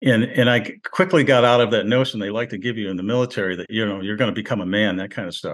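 At a very fast pace with hardly any pauses, a man talks at a medium pitch with ordinary pitch variation. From US Northeast, Rochester, New York. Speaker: war veteran and retired English professor. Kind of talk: interview. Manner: halting, many fillers and restarts.

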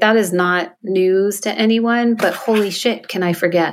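Using a plain, everyday voice, a woman speaks at a fairly slow pace with ordinary pitch variation. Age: 50s. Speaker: photographer and coach. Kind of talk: casual chat.

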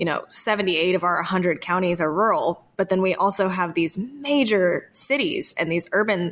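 A woman speaks in a plain, everyday voice at medium pitch, with ordinary pitch variation. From North Carolina (Appalachian foothills). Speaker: podcast host, folklorist. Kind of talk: casual interview conversation; scripted narration.

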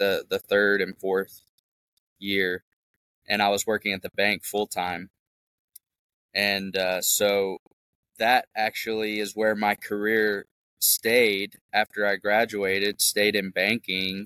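Speaking very slowly with long, frequent pauses, a man with an American accent has a bright, sharp tone, a fairly low pitch and monotone, flat intonation, in a dry, close sound with no echo. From US South, Memphis, Tennessee. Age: 30s. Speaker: off-grid homebuilder and real estate investor. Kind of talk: casual interview chat.

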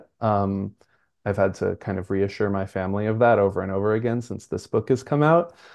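A man with an American accent and a normal speaking voice talks fairly quickly at a fairly low pitch. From US Northeast, Brooklyn, New York. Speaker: writer and preschool teacher. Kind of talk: interview.

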